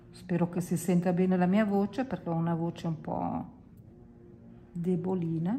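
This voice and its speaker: A woman speaks at a fairly slow pace with long, frequent pauses while music plays in the background. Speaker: watercolour teacher. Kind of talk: tutorial. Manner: casual, chatty.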